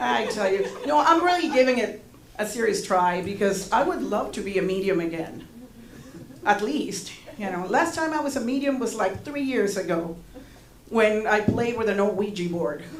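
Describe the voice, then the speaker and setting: Her medium-pitched voice swings very widely in pitch as the woman speaks, with audible room echo around her. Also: moderate pace. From Panama. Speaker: stand-up comedian. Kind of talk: stand-up. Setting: stage with audience.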